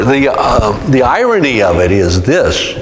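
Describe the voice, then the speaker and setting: A man talks with an American accent. Audible room echo and noticeable background noise surround his voice. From California (Stockton). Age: 70s. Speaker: author. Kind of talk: interview Q&A. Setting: museum talk with audience. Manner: halting, many fillers.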